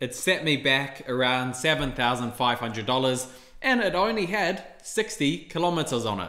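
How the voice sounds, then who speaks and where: Against a quiet background with audible room echo, a man with a New Zealand accent speaks in a bright, sharp tone. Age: 20s. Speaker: YouTuber on investing. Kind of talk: casual monologue to camera. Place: home room.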